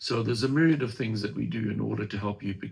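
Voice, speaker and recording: A man talks at a very fast pace with lively intonation. His voice is fairly low-pitched with vocal fry. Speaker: franchise company presenter. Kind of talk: webinar presentation with Q&A.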